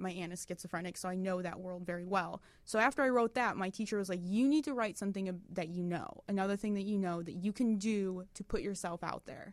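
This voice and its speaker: A woman with an American accent speaks at a very fast pace and a medium pitch, with hardly any pauses and ordinary pitch variation, on a very clean recording with a silent background. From Detroit, Michigan. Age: 30s. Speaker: web series writer and creator. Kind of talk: casual interview.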